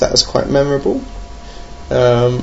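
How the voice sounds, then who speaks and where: Noticeable background noise surrounds a man speaking with a British accent. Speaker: podcast host, board game reviewer. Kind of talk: casual solo podcast monologue. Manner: hesitant, many fillers; dry, jokey humour.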